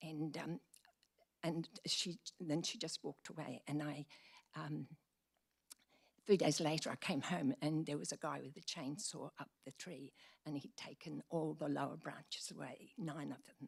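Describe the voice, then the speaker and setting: A woman's very deep, low voice with vocal fry, fairly even intonation, a moderate pace, and long, frequent pauses. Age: old. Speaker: member of the public addressing council. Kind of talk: public deputation speech. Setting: council meeting chamber. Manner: halting.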